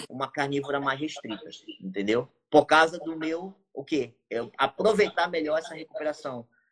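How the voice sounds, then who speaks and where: With a northern Brazilian accent, a man of fairly high pitch talks at a moderate pace with lively intonation. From Brazil, Amapá (Santana). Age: 30s. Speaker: bodybuilder and coach. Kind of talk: casual chat.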